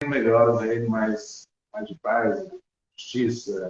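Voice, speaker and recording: A man speaks here. Room echo is audible around him. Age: 60s. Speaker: school principal and mindfulness instructor. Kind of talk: interview conversation.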